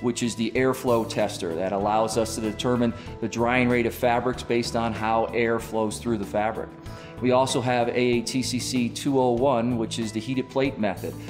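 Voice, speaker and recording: Over clear background music, a man talks at a moderate pace with fairly even intonation. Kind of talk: corporate explainer. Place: studio. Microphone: lapel.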